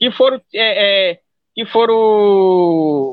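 A man speaks with lively intonation. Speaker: quilombola movement organizer. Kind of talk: interview.

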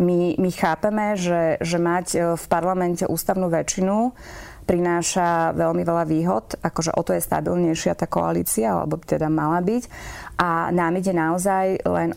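The recording is very clean, with a silent background. Speech moves at a moderate pace with fairly even intonation. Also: woman. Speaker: politician, member of the European Parliament. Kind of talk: political interview. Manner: hesitant, many fillers.

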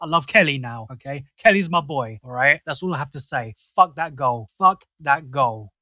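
Bright and sharp in tone, the speech comes at a fairly quick pace with a South London accent, dry and close with no echo. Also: man. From southeast London. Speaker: football fan podcaster. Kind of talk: casual chat. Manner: animated.

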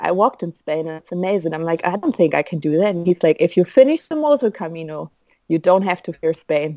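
A woman with a German accent speaks at a fairly quick pace in a medium pitch, her tone dark and mellow. The sound is dry and close with no echo, on a very clean recording with a silent background. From Germany. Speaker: pilgrim. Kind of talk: interview. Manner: hesitant, many fillers.

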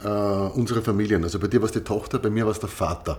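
The speaker is a man with a fairly low pitch. His voice carries vocal fry. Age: 40s. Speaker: podcast co-host. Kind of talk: casual chat.

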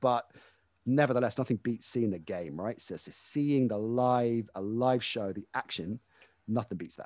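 With a British accent, a man talks fairly quickly at a medium pitch with ordinary pitch variation. The recording is very clean and silent, with a dry, close sound and no echo. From UK. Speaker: sports broadcaster. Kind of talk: casual interview.

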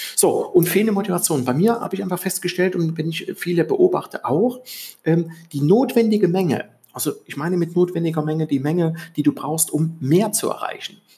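A man with a high pitch at a fairly quick pace. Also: ordinary pitch variation. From East Germany. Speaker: podcast host, self-improvement coach. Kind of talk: solo podcast monologue. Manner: hesitant, many fillers.

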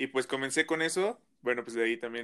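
Speaking in a central Mexican accent, a man has a bright, sharp tone and fairly even intonation. The recording is very clean, with a silent background. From central Mexico, State of Mexico (Toluca). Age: young. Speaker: rapper. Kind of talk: interview.

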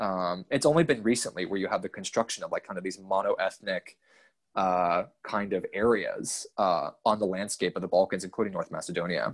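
A man with an American accent at a fairly quick pace, in a very clean recording with a silent background and a dry, close sound with no echo. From US state of Georgia. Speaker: graduate researcher on the Balkans. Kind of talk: casual interview.

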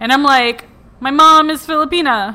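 A high-pitched woman's voice at a fairly slow pace with ordinary pitch variation. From Puerto Rico. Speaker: podcast guest. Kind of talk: casual chat.

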